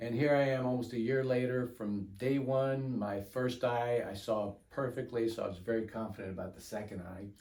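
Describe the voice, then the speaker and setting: Speaking at a moderate pace with hardly any pauses, a man with a medium pitch and a dark, mellow tone keeps his intonation fairly even in a room with audible echo. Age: 70s. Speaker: patient. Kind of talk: testimony. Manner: halting.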